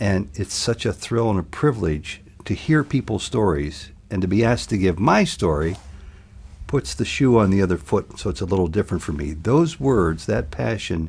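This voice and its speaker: Speaking at a moderate pace with an American accent, a man uses a fairly low pitch, vocal fry and very wide pitch swings. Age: 60s. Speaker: television journalist. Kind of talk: interview.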